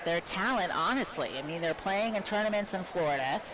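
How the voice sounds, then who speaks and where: A woman talks at a moderate pace, her medium pitch showing ordinary pitch variation. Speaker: teacher and volleyball commentator. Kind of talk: live sports commentary. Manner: projecting teacher voice.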